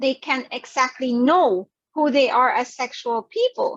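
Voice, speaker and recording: A woman speaks loudly at a high pitch. The sound is dry and close, with no echo. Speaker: psychologist and sex therapist. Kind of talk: virtual talk presentation. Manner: animated.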